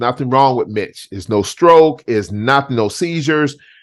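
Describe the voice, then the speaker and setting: This man has an unremarkable speaking voice with ordinary pitch variation. He talks at a moderate pace against a quiet background. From US South, Charleston, South Carolina. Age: 60s. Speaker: talk show host. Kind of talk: casual interview chat.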